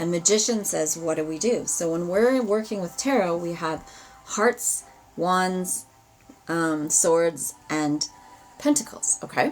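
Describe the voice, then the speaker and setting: Speaking with a slight Albertan accent, a woman with a fairly low pitch talks at a very slow pace with lively intonation over noticeable background noise. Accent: Albertan Canadian, slight. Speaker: tarot reader. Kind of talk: live ritual and tarot stream. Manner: animated.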